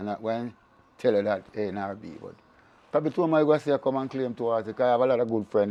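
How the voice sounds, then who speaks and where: A man at a very fast pace, ordinary pitch variation, big swings in loudness. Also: medium pitch for a man. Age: 70s. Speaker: horse racing trainer and former jockey. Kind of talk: interview.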